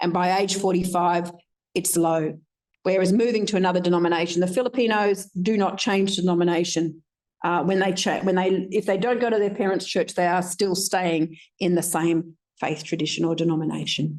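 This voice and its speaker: A woman with a normal speaking voice talks at a moderate pace and medium pitch, her intonation fairly even. Her loudness stays very even against a quiet background. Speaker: researcher presenting findings. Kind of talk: conference presentation.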